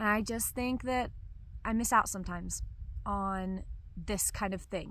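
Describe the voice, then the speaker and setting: A bright, sharp tone at a fairly slow pace, with audible room echo. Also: woman. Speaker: vlogger. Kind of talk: casual monologue to camera. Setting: outdoors.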